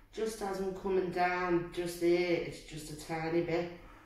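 Audible room echo surrounds a woman speaking at a moderate pace, her fairly low voice monotone and flat. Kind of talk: casual conversation with therapist. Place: office. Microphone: phone near.

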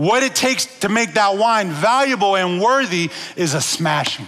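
A man at a fairly slow pace, high in pitch, with a bright, sharp tone and lively intonation.

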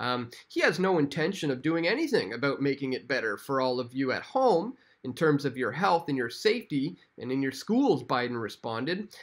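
Against a quiet background, a man with a Canadian accent talks at a moderate pace with fairly high pitch and lively intonation. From Canada. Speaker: independent online news commentator; independent news commentator. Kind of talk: political commentary video. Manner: frequent fillers and hesitations. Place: home room.

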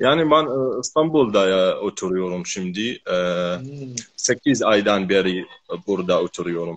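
A man with an Arabic accent speaks at a fairly slow pace. His fairly low voice has lively intonation. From Iraq, Maysan; Iraq. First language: Arabic (speaking Turkish). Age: 20s. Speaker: Turkish learner. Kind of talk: casual conversation practice. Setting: live video call from home. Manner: halting. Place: home room.

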